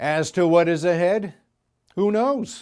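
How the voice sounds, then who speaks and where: The recording is very clean and the background silent. The speaker is a man. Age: 60s. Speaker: graduate giving commencement speech. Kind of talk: commencement speech.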